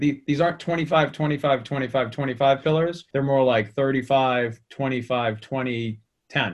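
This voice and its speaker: A man with a Boston accent speaks at a fairly high pitch. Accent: Boston American. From Boston area, US. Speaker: sales executive. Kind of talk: conversational interview.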